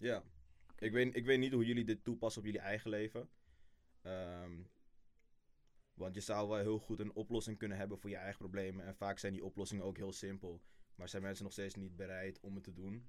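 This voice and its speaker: Delivered in an unremarkable speaking voice, a man's fairly low-pitched speech moves at a fairly quick pace with fairly even intonation. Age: 20s. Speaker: intern. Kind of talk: interview.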